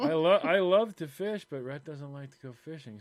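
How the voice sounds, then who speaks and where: A man talks at a moderate pace with lively intonation. He has a plain, everyday voice. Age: 50s. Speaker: podcast co-host. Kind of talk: casual chat.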